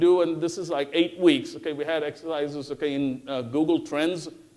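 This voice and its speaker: The speaker is a man with a Tamil accent. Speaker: professor. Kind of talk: conference talk. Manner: frequent fillers (okay, uh).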